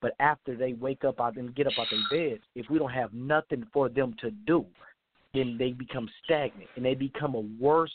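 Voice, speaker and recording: Here a man has an ordinary speaking voice at medium pitch, with ordinary pitch variation and a moderate pace. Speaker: caller. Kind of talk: casual call-in comments. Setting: phone call.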